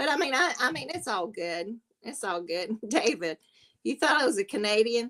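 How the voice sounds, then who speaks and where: In a Southern US accent, a woman speaks at a moderate pace with a fairly high pitch, a bright, sharp tone and very wide pitch swings. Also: dry, close sound with no echo. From South Carolina. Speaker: livestream panel host. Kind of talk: casual chat.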